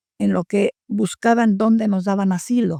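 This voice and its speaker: A woman's dark, mellow voice at medium pitch, with fairly even intonation and a fairly slow pace. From Poland. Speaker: war refugee, survivor. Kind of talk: interview answer.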